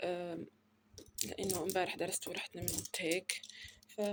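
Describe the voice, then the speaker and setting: A woman at medium pitch speaks in a flat monotone at a moderate pace. Long pauses come often. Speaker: university student vlogger. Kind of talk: casual vlog. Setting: at home in bedroom.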